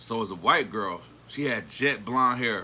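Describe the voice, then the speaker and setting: This man has a bright, sharp, animated tone at a medium pitch. His pitch variation is ordinary. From New Jersey (Newark area). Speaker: livestreamer. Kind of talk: casual livestream chat and storytelling.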